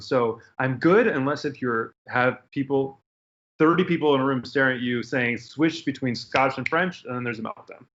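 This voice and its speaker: In a normal speaking voice, a man with an American accent speaks at a medium pitch and a fairly quick pace. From Detroit area, US. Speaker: actor. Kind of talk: casual chat.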